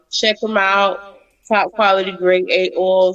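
Her pitch sits at a medium level. This woman speaks very slowly. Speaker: co-host DJ. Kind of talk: radio DJ patter.

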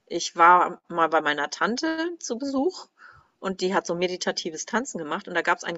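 A woman has an unremarkable speaking voice, fairly low in pitch. She talks at a moderate pace with ordinary pitch variation. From northern Germany, Kiel. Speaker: former music teacher. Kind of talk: interview about personal grief.

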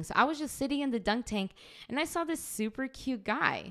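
The recording is very clean, with a silent background. A woman speaks in an animated tone with lively intonation at a moderate pace. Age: 20s. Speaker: podcast co-host. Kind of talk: casual chat. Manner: loud; animated, frequent laughter.

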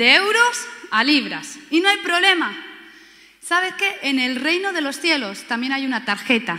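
In a Spanish accent, a woman speaks at a fairly slow pace in a raised, projected voice, animated and with very wide pitch swings. Audible room echo and noticeable background noise surround her. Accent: Spanish from Spain. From Spain. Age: 30s. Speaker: pastor. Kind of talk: sermon.

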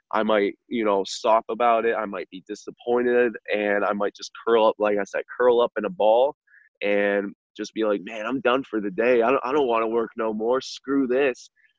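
A man speaks in a normal speaking voice at medium pitch. His pace is moderate and his intonation fairly even. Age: 20s. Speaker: insurance agent. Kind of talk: podcast interview.

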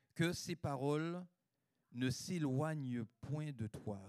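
Recorded dry and close with no echo, a man speaks in a dark, mellow tone with lively intonation. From Guadeloupe. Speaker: preacher. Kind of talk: sermon. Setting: church.

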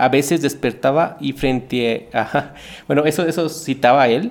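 Vocal fry with ordinary pitch variation. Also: man. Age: 30s. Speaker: podcast host and storyteller. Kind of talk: storytelling narration.

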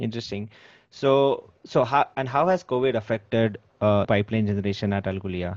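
This man has an ordinary speaking voice at a medium pitch. He talks fairly quickly, and his pitch varies in an ordinary way. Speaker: podcast host. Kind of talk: interview.

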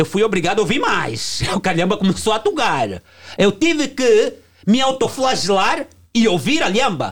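This man speaks at a moderate pace in a high pitch. His intonation is lively. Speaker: music producer. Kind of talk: heated debate.

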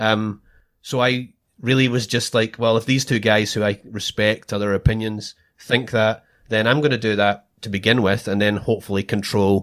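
Over a silent background in a very clean recording, a man with a Scottish accent speaks at a moderate pace in a fairly low, monotone voice with flat intonation. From Scotland. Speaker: Bitcoin podcast host, former government procurement contractor. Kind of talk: casual chat.

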